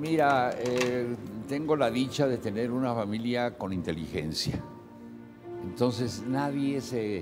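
With clear music in the background, a man in a Mexican accent talks at a fairly slow pace. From northern Mexico (Saltillo, Coahuila). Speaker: actor. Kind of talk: TV interview answer. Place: studio.

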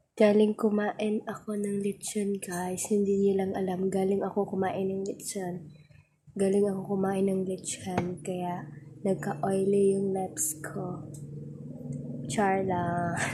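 Through noticeable background noise, a woman speaks at a very slow pace with monotone, flat intonation. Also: medium pitch for a woman. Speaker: vlogger. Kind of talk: casual vlog. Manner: giggly, laughing often.

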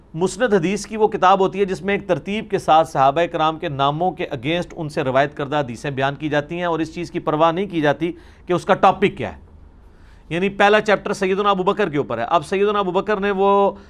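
A man with a high-pitched voice speaks at a moderate pace with ordinary pitch variation. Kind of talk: lecture. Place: studio. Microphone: lapel.

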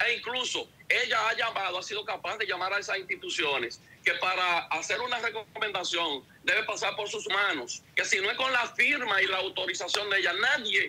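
A man with a high pitch, a slightly husky edge and a bright, sharp tone speaks with ordinary pitch variation. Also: moderate pace, few pauses.

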